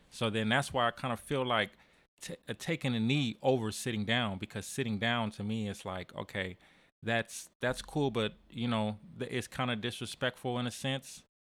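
In an American accent, a man uses a normal speaking voice at medium pitch and a moderate pace with fairly even intonation. The recording is very clean with a silent background. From San Diego, California. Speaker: musician. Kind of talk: casual chat.

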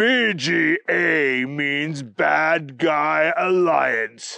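Using a robotic, put-on character voice, a man speaks at a fairly high pitch. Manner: threatening.

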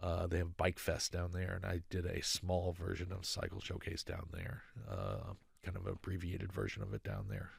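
With an American accent, a man speaks in a very deep, low voice with vocal fry and flat, monotone intonation. His pace is moderate, and the recording is very clean with a silent background. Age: 50s. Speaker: sound engineer and motorcycle builder. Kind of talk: casual interview. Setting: studio.

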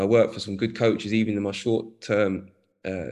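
In a London accent, a man with a fairly low pitch speaks in a monotone, flat way against a quiet background. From North London. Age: 40s. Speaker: football coach. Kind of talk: interview.

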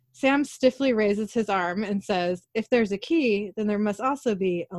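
Reading in an unforced reading voice

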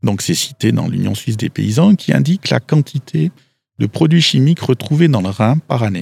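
A man's pitch swings very widely. He keeps to a moderate speed. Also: medium pitch for a man, dry, close sound with no echo. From Switzerland, Valais. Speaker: agricultural expert. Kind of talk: interview. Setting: outdoors.

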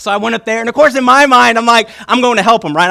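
In a very clean recording with a silent background, a man with an American accent talks at a very fast pace in a raised, projected voice, his tone animated and his pitch varying in an ordinary way. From Virginia. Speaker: pastor. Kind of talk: sermon. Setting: church.

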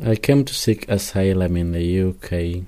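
A man with a very deep, low pitch and a dark, mellow tone speaks at a very slow pace. His intonation is fairly even, and the recording is very clean with a silent background. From Zimbabwe. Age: 20s. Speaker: failed asylum seeker. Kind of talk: testimony. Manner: halting.

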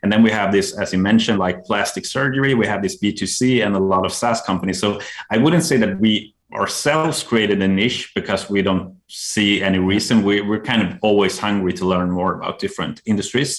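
Talking at a fairly quick pace with hardly any pauses, a man with a Swedish accent uses a fairly low pitch and ordinary pitch variation. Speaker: CTO of a marketing agency. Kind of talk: casual interview. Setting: remote call.

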